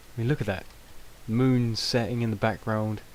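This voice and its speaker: A man with a British accent. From Britain. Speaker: gaming video creator. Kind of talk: gameplay commentary. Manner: hesitant, many fillers.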